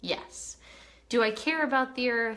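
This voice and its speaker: The speaker has a Southern California accent and an animated tone. Noticeable background noise is present. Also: woman. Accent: Valley Girl. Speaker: live streamer. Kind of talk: casual chat.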